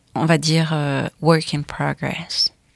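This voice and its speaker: Recorded very cleanly against a silent background, a woman speaks in a fairly low, monotone, flat voice with a dry, close sound and no echo. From France, of Chilean parents. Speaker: singer. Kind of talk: casual chat.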